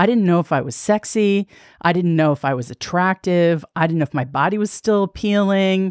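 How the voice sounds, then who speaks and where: At a fairly quick pace, a woman talks in a normal speaking voice with a fairly low pitch and ordinary pitch variation, recorded very cleanly with a silent background and a dry, close sound with no echo. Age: 50s. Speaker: podcaster and former TV executive. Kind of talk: casual interview chat.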